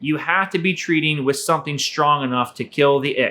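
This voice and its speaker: This man's bright, sharp voice sits fairly high, moving at a moderate pace with ordinary pitch variation. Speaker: aquarium hobby video host. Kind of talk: tutorial. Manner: casual, conversational; stuttering at times.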